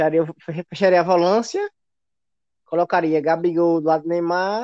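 A man with a high pitch, fairly even intonation and a moderate pace. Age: 20s. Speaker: football fan commentator. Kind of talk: casual chat.

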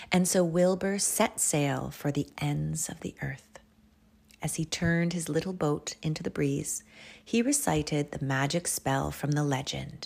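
Speech unfolds at a fairly slow pace. The audio is very clean, and the background is silent. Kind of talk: children's storybook reading aloud. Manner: animated, expressive storyteller.

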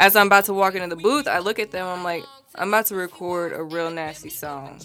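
Someone with an American accent speaks at a fairly quick pace, loudness swinging widely and pitch varying in an ordinary way, over noticeable background noise. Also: woman. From Texas, San Antonio and Wichita, Kansas. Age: 20s. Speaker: rapper and actress. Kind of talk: casual interview chat.

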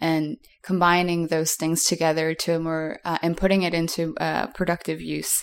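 A woman with an American accent talks fairly slowly in an unremarkable speaking voice with a fairly low pitch. Her intonation is fairly even, and the recording is very clean with a silent background. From US East Coast. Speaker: artist and educator. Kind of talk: interview conversation.

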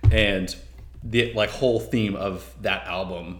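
A man's fairly low voice with an American accent, ordinary pitch variation, vocal fry, and audible room echo. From Texas. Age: 20s. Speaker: music podcast guest. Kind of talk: casual chat.

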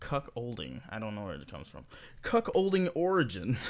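A man's animated speech at a fairly quick pace with very wide pitch swings, on a very clean recording with a silent background. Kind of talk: casual comedic chat. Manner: joking, animated, laughs often.

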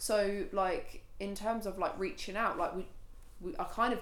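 A woman speaks with a Suffolk accent at a moderate pace. Room echo can be heard around her voice. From Suffolk, eastern England (Felixstowe and Shotley). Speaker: charity walker, graphic designer. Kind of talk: casual interview.

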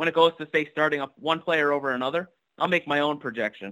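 Speaking at a moderate pace, a man uses a fairly high pitch. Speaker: fantasy football league member. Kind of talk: casual chat.

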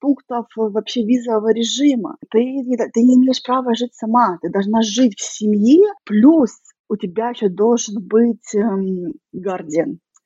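Fairly slow, high-pitched female speech with ordinary pitch variation. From Russia. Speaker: emigrant. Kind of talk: interview.

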